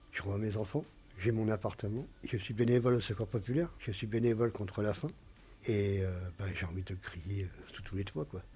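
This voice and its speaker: A man talks with a somewhat breathy quality. His pitch is fairly low. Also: ordinary pitch variation, fairly quick pace. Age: 50s. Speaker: recovering alcoholic patient. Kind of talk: testimony. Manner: halting.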